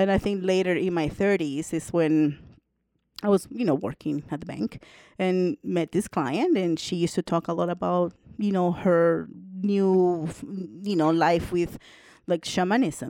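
At a fairly slow pace, a woman speaks in a dark, mellow tone with ordinary pitch variation on a very clean recording with a silent background. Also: fairly low pitch for a woman. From El Salvador. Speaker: podcast co-host, shaman. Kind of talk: casual chat, life story interview. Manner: animated.

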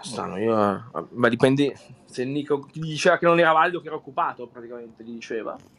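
A man speaks at medium pitch and a very fast pace. His loudness swings widely. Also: ordinary pitch variation. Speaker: chat room host. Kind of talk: casual chat.

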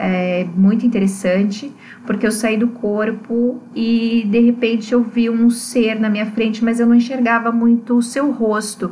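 A woman's fairly high voice stays monotone and flat, with noticeable background noise behind it. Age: 30s. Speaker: astrologer and spirituality researcher. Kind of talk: personal testimony.

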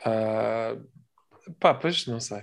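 A man with a European Portuguese accent on a very clean recording with a silent background. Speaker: podcast co-host. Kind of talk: casual chat.

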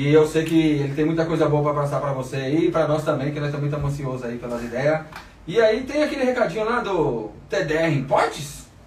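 Noticeable background noise sits behind a man speaking at a fairly quick pace. His fairly high pitch moves with lively intonation. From Brazil, Diadema. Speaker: podcast host. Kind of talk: casual interview chat. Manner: slangy, relaxed.

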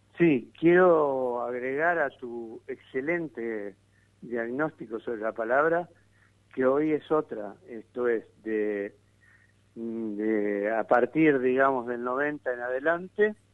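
A man's medium-pitched voice moves very slowly, showing ordinary pitch variation. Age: 60s. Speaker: political analyst. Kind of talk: radio interview. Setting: phone call.

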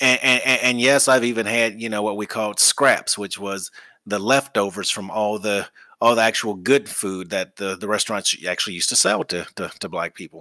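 A man with an American accent has a fairly low pitch and a bright, sharp tone. He keeps a moderate pace and fairly even intonation in a dry, close sound with no echo. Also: very clean recording, silent background. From US South, Alabama. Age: 50s. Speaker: business podcast host. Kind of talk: solo podcast monologue. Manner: passionate.

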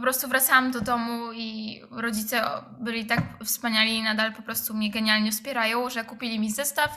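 Against noticeable background noise, a woman speaks at a fairly high pitch in a monotone, flat intonation, with big swings in loudness. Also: fairly quick pace. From Poland, Rzeszów. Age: 20s. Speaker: drummer. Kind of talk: interview.

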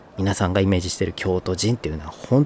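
A man talks in a very deep, low pitch. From northern Kyoto Prefecture coast, Japan. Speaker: podcast host. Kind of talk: casual solo podcast talk.

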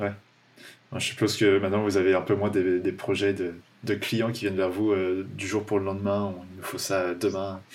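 A fairly low-pitched man at a moderate pace, his intonation monotone and flat. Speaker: podcast host. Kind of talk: casual interview chat.

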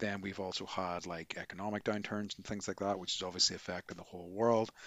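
With a Northern Irish accent, a man speaks at a moderate pace and a fairly low pitch. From Northern Ireland. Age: 40s. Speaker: podcast co-host, yoga teacher. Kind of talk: casual chat.

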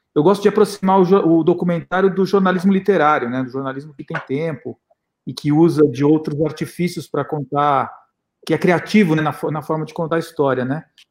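A man's fairly high voice with ordinary pitch variation and big swings in loudness. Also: fairly quick pace. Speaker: documentary filmmaker and professor. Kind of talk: panel interview.

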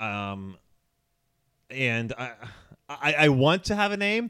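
This is a man speaking with an American accent. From Philadelphia, US. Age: 30s. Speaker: writer and former school counselor. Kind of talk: casual chat.

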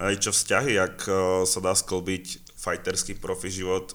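Speaking at a very slow pace, a man uses a very deep, low pitch with a Slovak accent. The recording is very clean, with a silent background. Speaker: podcast host. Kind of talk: casual interview.

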